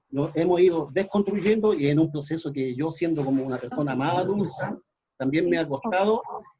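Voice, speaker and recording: A man speaks with a Chilean accent. His pitch is fairly high. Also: ordinary pitch variation, moderate pace. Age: 60s. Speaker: folk musician and community activist. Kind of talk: panel discussion. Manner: halting, many fillers. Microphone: too quiet.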